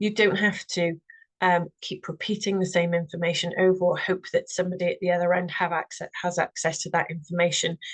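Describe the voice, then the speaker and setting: Delivered at a fairly quick pace in a Welsh accent, the voice is somewhat breathy and monotone, with a dry, close sound and no echo. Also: woman, medium pitch for a woman. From Wales. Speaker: representative of a standards organisation. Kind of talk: webinar presentation.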